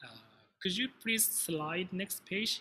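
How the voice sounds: A man speaks with lively intonation and a bright, sharp tone.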